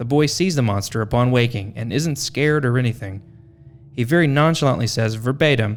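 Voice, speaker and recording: At a moderate pace, an ordinary speaking voice talks with ordinary pitch variation. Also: man. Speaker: podcast host. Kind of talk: podcast narration.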